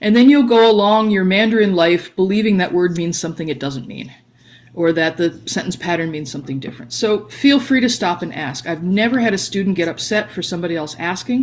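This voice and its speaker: A woman's fairly quick, lively-intoned speech. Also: medium pitch for a woman. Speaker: language teacher. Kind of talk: lecture. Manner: fast.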